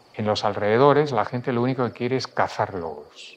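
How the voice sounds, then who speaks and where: Medium pitch, ordinary pitch variation and a moderate pace from a man. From Spain, Madrid. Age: 60s. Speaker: publisher and writer. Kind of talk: interview. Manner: halting.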